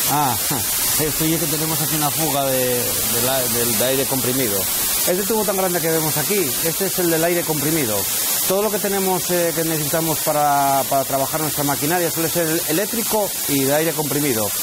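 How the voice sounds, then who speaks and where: Fairly quick speech, dry with no echo, over loud background noise. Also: man. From Asturias, Spain. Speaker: coal miner and mine guide. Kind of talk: guided tour explanation. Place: tunnel cave. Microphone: lapel.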